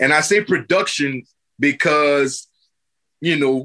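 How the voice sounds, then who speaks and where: Speaking very slowly with an American accent, a man has a fairly high pitch, ordinary pitch variation and a bright, sharp tone, recorded with a dry, close sound and no echo. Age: 40s. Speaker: music producer. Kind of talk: casual chat.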